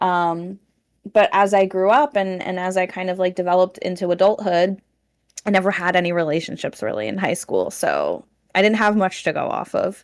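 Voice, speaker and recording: A woman uses a normal speaking voice with fairly even intonation. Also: medium pitch for a woman, moderate pace. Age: 30s. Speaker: content creator. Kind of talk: casual chat.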